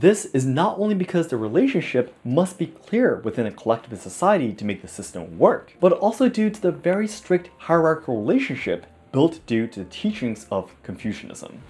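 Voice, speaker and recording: The voice moves at a fairly quick pace with hardly any pauses. Its pitch swings very widely, and its loudness swings a lot. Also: man, high pitch for a man. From Japan. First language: Japanese. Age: 20s. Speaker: YouTuber explaining Japanese culture. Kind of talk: scripted explainer narration; casual chat. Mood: friendly, animated, smiling. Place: home room. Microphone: lapel.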